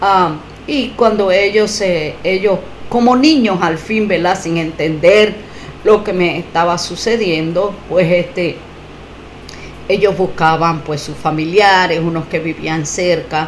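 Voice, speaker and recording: With audible room echo and noticeable background noise, a woman speaks very slowly at a medium pitch with ordinary pitch variation. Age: 60s. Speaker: testimony giver, faith healing survivor. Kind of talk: testimony. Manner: halting, many fillers and repetitions.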